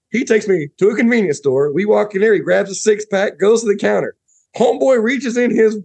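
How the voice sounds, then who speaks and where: A man talks fairly quickly in an American accent. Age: 40s. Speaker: podcast guest. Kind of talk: casual chat.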